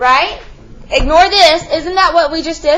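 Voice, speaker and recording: Noticeable background noise sits behind a woman whose extremely high pitch shows ordinary variation. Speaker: math teacher. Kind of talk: classroom lecture. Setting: classroom.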